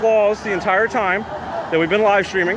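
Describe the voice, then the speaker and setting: In an American accent, a man speaks at a high pitch and a moderate pace with fairly even intonation, over noticeable background noise. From US, DC area. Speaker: citizen journalist live streamer. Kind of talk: live street reporting. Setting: outdoors at street protest. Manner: halting with fillers.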